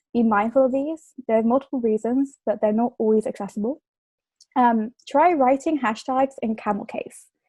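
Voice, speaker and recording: A woman with an English accent speaks at a moderate pace in a high voice with a dark, mellow tone, ordinary pitch variation, and a dry, close sound with no echo. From England. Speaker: communication fellow. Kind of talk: presentation.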